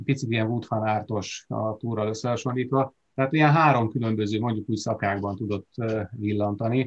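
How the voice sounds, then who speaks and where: With a plain, everyday voice, a man talks at a medium pitch. He moves fairly quickly, and his intonation stays fairly even. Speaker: cycling commentator. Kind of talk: casual chat.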